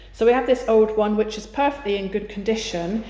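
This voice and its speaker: A woman with an English accent talks with fairly even intonation. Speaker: YouTuber renovating a chateau. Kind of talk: casual vlog narration. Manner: whispering.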